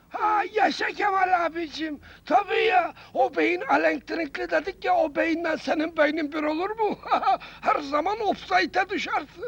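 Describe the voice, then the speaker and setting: A man puts on a character voice with an extremely high pitch. It sounds hoarse and moves at a fairly slow pace. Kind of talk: 1970s comic radio acting. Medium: comedy sketch. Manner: cheeky, street-slangy.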